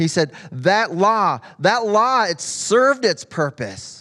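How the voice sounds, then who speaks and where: A man's raised, projected, high-pitched voice, very slow, bright and sharp, with very wide pitch swings, in a very clean recording with a silent background. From US Midwest. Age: 50s. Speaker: guest preacher. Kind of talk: sermon. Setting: church. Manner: halting, many repetitions.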